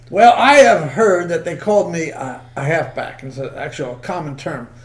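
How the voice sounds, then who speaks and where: A man with an American accent talks at a fairly quick pace in a high pitch, with noticeable background noise and audible room echo. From New York. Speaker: comedian. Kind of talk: casual chat. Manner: fast, mumbling.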